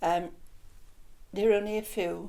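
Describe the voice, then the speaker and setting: A woman's dark, mellow voice in a Welsh accent, with audible room echo. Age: 80s+. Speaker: local resident. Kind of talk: casual chat.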